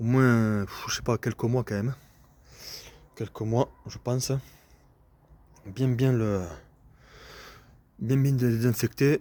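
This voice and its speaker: Speaking at a very slow pace with long, frequent pauses, a man uses fairly even intonation and a dark, mellow tone in a dry, close sound with no echo. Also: medium pitch for a man. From southern France. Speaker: landscape gardener and video maker. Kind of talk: casual tutorial video. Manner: casual, hesitant with fillers.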